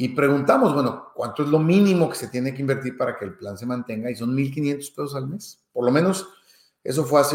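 A man with a Mexican accent talks at a fairly quick pace in a fairly high pitch, his pitch varying in an ordinary way. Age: 50s. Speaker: finance podcaster. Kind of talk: monologue podcast. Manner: hesitant with fillers.

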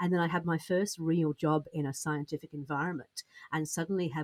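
Recorded dry and close with no echo, a woman with a British accent speaks with a very deep, low pitch and fairly even intonation. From Britain. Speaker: business coach. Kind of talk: interview. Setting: podcast studio.

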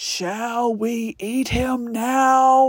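A woman puts on a character voice pitched high. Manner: menacing, ominous.

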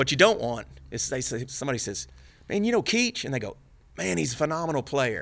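A man with a Texan accent at a very fast pace. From Texas, Dallas. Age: 50s. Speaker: bass player. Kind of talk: casual chat.

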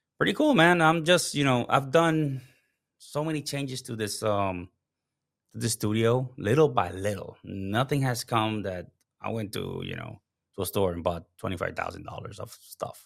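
A man talks at a moderate pace with a Spanish accent. His intonation is lively. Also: medium pitch for a man, big swings in loudness. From Puerto Rico. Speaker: live streaming strategist and consultant. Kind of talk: casual interview chat. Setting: home studio, remote call.

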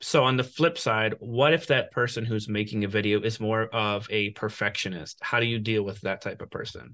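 A man talks at a moderate pace with hardly any pauses, in an unremarkable speaking voice. His pitch is medium with ordinary variation, and the background is quiet. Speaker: podcast host. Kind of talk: interview.

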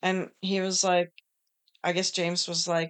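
A woman speaks at a very slow pace. Her pitch sits in the middle range, with ordinary variation. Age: 40s. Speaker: podcast co-host. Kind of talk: casual chat.

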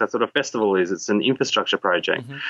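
A bright, sharp tone comes through dry and close with no echo over a quiet background. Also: man. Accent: Australian. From Australia, raised from age six; early years in Borneo. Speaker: tech entrepreneur. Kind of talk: interview conversation.

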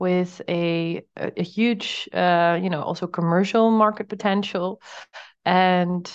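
A woman with a Dutch accent, fairly low-pitched, speaking at a very slow pace against a quiet background. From Netherlands. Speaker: startup founder. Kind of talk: interview.

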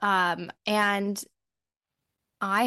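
A woman speaks in an unremarkable speaking voice with fairly even intonation, the sound dry and close with no echo over a quiet background. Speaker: podcast host. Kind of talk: casual interview chat.

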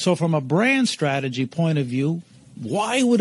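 At a moderate pace, a man with a high pitch speaks with very wide pitch swings. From Eastern Canada. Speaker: keynote speaker and brand strategist. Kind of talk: interview storytelling.

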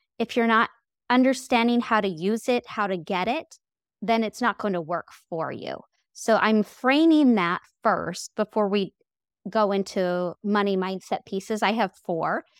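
Speaking at a fairly slow pace, a woman uses a fairly high pitch with ordinary pitch variation. The recording is very clean and silent in the background, with a dry, close sound and no echo. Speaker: money coach and podcaster. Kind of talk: interview conversation.

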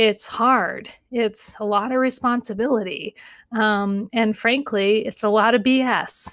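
With a plain, everyday voice, a woman talks at a fairly slow pace and a fairly high pitch, in a dry, close sound with no echo. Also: very clean recording, silent background. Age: 40s. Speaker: therapist and podcast host. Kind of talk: casual advice monologue.

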